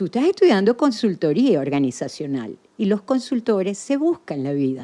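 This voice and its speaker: Here a woman speaks with a dark, mellow tone. Her pitch swings very widely. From Venezuela. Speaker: podcast guest, former association president. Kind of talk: casual interview.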